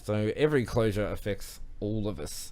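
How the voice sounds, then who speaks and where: A man speaks with an Australian accent. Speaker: online show host. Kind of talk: news segment on live stream. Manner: fast.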